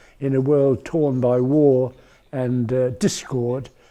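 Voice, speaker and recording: A dark, mellow tone comes through in a British accent against a quiet background. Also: man. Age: 80s+. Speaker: retired foreign correspondent. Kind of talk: interview answer. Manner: hesitant, reflective.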